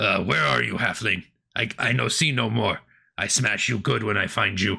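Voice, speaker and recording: This is a loud, put-on character voice. It comes across as gruff and raspy. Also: man, fairly low pitch for a man, moderate pace. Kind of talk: broken, primitive speech. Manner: menacing, threatening.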